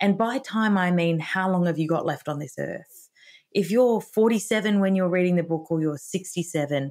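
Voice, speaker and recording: A woman with an Australian accent and a fairly low pitch. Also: ordinary pitch variation, moderate pace. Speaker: author and retirement educator. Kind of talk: interview podcast conversation.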